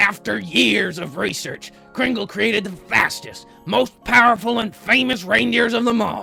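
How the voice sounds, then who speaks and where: Using a put-on character voice, a man speaks high and raised, projecting with hardly any pauses and ordinary pitch variation while faint music plays behind him. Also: moderate pace. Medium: comedy sketch. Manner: blustery, crude.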